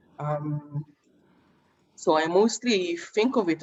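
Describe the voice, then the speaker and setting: In an Israeli accent, a woman speaks at fairly low pitch with ordinary pitch variation. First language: Hebrew. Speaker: poet. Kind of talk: panel discussion answers. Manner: halting, many fillers.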